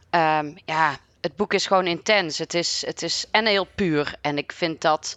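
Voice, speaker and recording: Her voice fairly low in pitch, a woman speaks at a very slow pace with fairly even intonation. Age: 30s. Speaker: librarian. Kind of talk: casual conversation.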